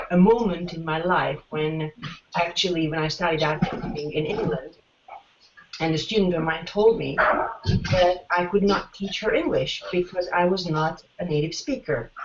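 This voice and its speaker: Over noticeable background noise, a speaker with a non-native accent talks at a moderate pace with ordinary pitch variation. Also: woman, fairly low pitch for a woman. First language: not English. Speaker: teacher and former master's student. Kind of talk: interview. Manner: halting, many fillers.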